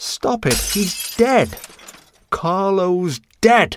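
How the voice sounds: A man's put-on character voice, high-pitched with big pitch swings, at a very slow pace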